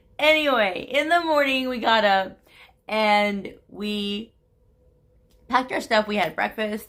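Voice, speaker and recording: Against a silent background in a very clean recording, a woman speaks at a very slow pace. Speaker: vlogger. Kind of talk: casual storytelling vlog. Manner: chatty, many fillers.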